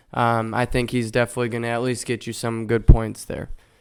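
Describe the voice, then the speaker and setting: This man's voice sits at a medium pitch. The recording is very clean, with a silent background. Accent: American. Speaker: fantasy football podcaster. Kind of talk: casual sports analysis.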